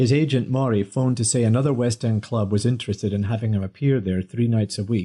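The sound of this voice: The speaker reads in an unforced reading voice, the pitch shifting in an ordinary way.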